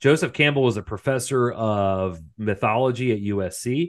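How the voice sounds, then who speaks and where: In a normal speaking voice, a man talks at a medium pitch with ordinary pitch variation against a quiet background. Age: 40s. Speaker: podcast co-host. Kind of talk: casual chat.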